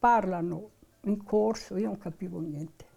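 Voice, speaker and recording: Her tone dark and mellow with vocal fry, a woman speaks at a moderate pace. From northern Italy, Modena province (Emilian Apennines). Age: 90s. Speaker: elderly interviewee. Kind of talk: oral history interview.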